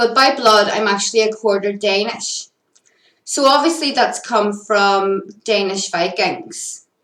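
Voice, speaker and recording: In a Northern Irish accent, a woman talks at a fairly slow pace with ordinary pitch variation. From Northern Ireland. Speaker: spiritual content creator. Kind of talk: personal monologue. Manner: casual with fillers.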